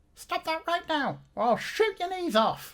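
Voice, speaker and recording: Extremely high pitch defines this put-on character voice. It moves at a moderate pace. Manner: threatening.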